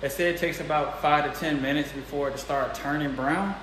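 A man with an American accent talks at a fairly quick pace in a fairly high pitch, with audible room echo and light background noise. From US South, Mississippi. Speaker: vlogger. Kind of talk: casual vlog talk to camera. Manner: animated. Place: home room. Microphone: phone near.

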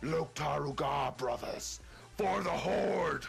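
A raspy, put-on character voice moves at a very slow pace. Clear music plays in the background. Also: man, fairly high pitch for a man. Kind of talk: battle speech.

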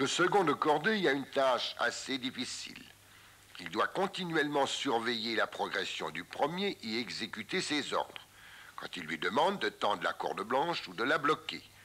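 With an ordinary speaking voice, a man talks at a moderate pace, fairly high in pitch with lively intonation. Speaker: mountaineering instructor narrating. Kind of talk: 1958 documentary film narration, voice-over explaining climbing technique. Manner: calm, didactic, measured and formal; clear step-by-step instructional delivery, even pace.

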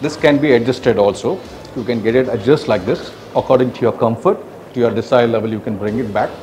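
Music plays in the background as a man speaks. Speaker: presenter. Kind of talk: product walkthrough. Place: gym.

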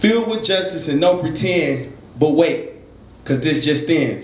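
Amid light background noise and audible room echo, a man speaks with lively intonation. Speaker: spoken word poet. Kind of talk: spoken word poetry performance. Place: stage.

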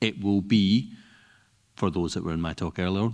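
At a fairly low pitch, a man speaks in a normal speaking voice, with a dry, close sound that has no echo. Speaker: security consultant. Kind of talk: panel discussion. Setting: stage with audience.

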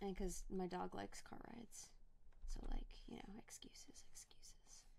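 The voice is quiet, moving at a moderate pace. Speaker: streamer and artist. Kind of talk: casual chat. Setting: live stream.

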